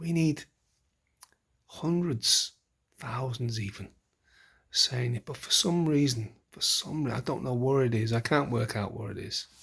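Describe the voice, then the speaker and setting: A somewhat breathy male voice with lively intonation. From UK. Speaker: political commentator vlogger. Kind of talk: casual monologue. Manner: halting, repeats words; impassioned.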